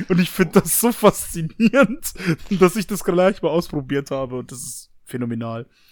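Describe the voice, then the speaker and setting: Pitched high, a man talks at a moderate pace, his pitch swinging very widely and his loudness rising and falling sharply. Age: 20s. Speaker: new podcast co-host. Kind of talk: casual chat.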